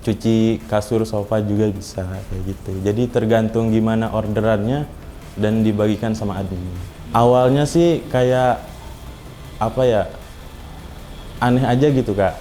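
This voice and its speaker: Through noticeable background noise, a man of medium pitch and ordinary pitch variation speaks at a fairly slow pace with long, frequent pauses. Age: 20s. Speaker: cleaner and university student. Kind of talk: interview testimony. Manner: casual, hesitant with fillers.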